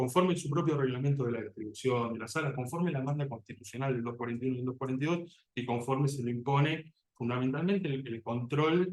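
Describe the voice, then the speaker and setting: The delivery is fairly quick, with ordinary pitch variation. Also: man. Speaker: job candidate, criminal defense lawyer. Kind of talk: oral exam. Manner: fast; halting, repeats words.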